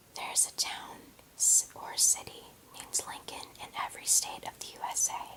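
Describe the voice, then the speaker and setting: Someone whispers, with long, frequent pauses. Background noise is noticeable. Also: moderate pace. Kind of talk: ASMR whispered fact reading. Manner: whispered.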